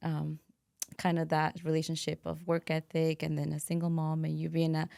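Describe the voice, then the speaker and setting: A woman with very deep, low pitch talks at a fairly quick pace. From immigrant, Latin America, came to US at thirteen. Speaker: podcast host. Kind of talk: casual interview chat.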